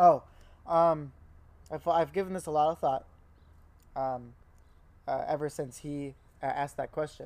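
A man with a fairly high pitch speaks at a moderate pace, leaving long, frequent pauses. The recording is very clean, with a silent background. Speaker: podcast co-host. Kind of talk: casual chat.

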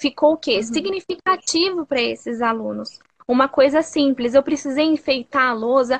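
Her pitch is high, with ordinary variation. This woman speaks at a moderate pace. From Brazil, interior of São Paulo state (Sorocaba). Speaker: primary school teacher. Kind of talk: casual conversation. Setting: Instagram live video call.

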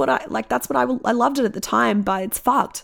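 Very fast speech with vocal fry in an Australian accent. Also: woman. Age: 30s. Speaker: podcast host and musician. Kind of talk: solo monologue.

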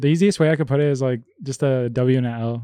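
A man with a medium pitch and a dark, mellow tone, in a dry, close sound with no echo and a quiet background. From Chicago west suburbs, born in Colombia. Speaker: podcast host. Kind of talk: casual chat.

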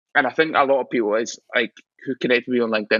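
A man with a Scottish accent, medium in pitch, talking at a very fast pace. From Scotland. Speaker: visual artist. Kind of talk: casual chat. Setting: studio.

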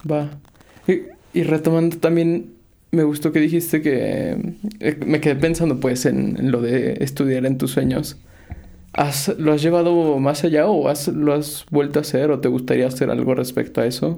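A man with a fairly high pitch and a dark, mellow tone speaks at a moderate pace, with fairly even intonation and very even loudness. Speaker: podcast host. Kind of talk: casual interview.

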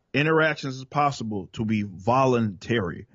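Speaking with a Southern accent, a man uses lively intonation at a medium pitch. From Dallas, Texas. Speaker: rap metal vocalist and political commentator. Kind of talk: casual interview conversation.

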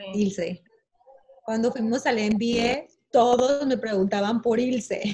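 Intonation remains fairly even. The speech unfolds at a very slow pace. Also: woman, fairly high pitch for a woman. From Barranquilla, Colombia. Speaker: wedding professional. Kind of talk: online panel discussion.

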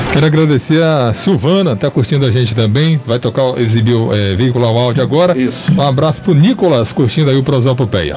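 A man at a medium pitch, fairly quick and with hardly any pauses, lively intonation and very even loudness against noticeable background noise. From Ipirá, Bahia, Brazil. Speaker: radio show co-host. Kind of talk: radio talk show.

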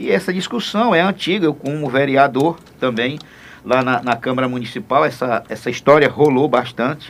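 A man with an ordinary speaking voice keeps a moderate pace, and his pitch varies in an ordinary way. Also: fairly high pitch for a man. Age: 60s. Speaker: state deputy, politician. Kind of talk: radio interview.

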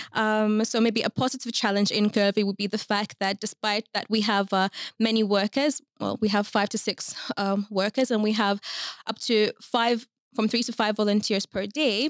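A woman's fairly high, monotone voice with flat intonation, a moderate pace, and a dry, close sound with no echo. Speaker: youth worker at immigrant support NGO. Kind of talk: casual interview.

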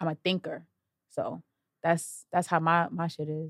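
On a very clean recording with a silent background and a dry, close sound with no echo, a woman speaks at a fairly quick pace with a fairly low pitch and fairly even intonation. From Brooklyn, New York City (Brownsville). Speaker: rapper. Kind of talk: interview.

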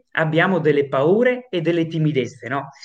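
At a fairly slow pace, a man speaks with a high pitch and very wide pitch swings. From northern Italy, Padova province. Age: 20s. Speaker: singer-songwriter. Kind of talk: interview. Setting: video call.

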